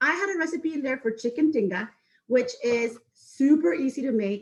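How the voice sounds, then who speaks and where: A woman speaks with a Mexican accent, her high voice rising and falling in a lively way. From Mexico, Acapulco. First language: Spanish. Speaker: spirits sales manager teaching a cooking class. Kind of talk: online cooking and drinks class. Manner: fast when excited.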